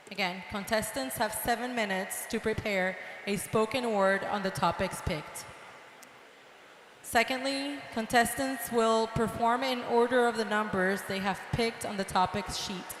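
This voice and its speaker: Noticeable background noise runs under this recording. A woman speaks with a fairly high pitch and ordinary pitch variation. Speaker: contest host. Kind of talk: reading rules to contestants. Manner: repeats rules slowly.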